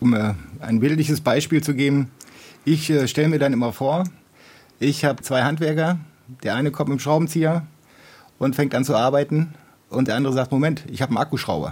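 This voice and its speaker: A man's fairly high, somewhat breathy voice at a fairly quick pace, with fairly even intonation, very even loudness, and long, frequent pauses. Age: 50s. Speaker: software developer, listener guest. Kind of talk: casual discussion.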